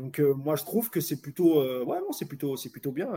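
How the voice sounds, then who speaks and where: Moving at a fairly quick pace, a man talks with lively intonation. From France, Moroccan heritage. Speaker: football podcast host. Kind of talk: casual chat. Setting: live stream.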